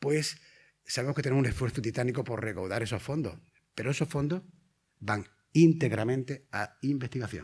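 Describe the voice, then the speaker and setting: A somewhat breathy man of medium pitch, fairly quick yet with long, frequent pauses, ordinary pitch variation, on a very clean recording with a silent background. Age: 60s. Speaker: primary school teacher and patient advocate. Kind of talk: conference lecture. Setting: conference hall with audience.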